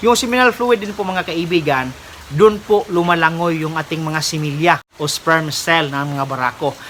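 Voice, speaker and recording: Noticeable background noise runs under the speech. The delivery keeps a moderate pace. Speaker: pig farmer vlogger. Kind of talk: tutorial. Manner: polite, formal.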